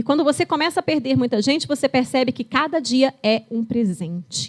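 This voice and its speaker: A woman talks at a moderate pace with lively intonation, in an ordinary speaking voice. The sound is dry and close, with no echo. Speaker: geriatrician. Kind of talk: lecture. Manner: conversational, storytelling.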